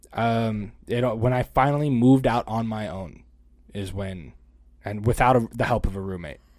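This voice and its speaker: Over a very clean recording with a silent background comes an unremarkable speaking voice at a moderate pace, with ordinary pitch variation. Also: man, medium pitch for a man. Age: 30s. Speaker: podcast co-host. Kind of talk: casual chat.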